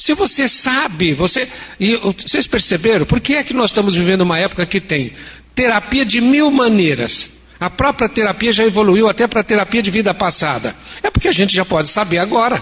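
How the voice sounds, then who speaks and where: A man with a high pitch and lively intonation, at a fairly quick pace, over noticeable background noise. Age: 70s. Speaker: spiritist lecturer. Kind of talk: lecture.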